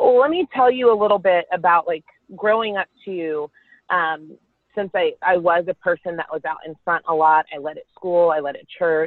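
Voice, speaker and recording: This woman has an ordinary speaking voice, fairly low in pitch, with an American accent. She talks at a moderate pace with ordinary pitch variation and big swings in loudness. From Texas, Carrollton. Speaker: worship leader. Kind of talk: casual chat.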